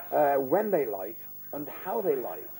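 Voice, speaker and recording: A man talks at a moderate pace with a Liverpool accent. His intonation is lively. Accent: Scouse (Liverpool). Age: 80s+. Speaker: pensioner. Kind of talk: interview testimony. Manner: halting with fillers.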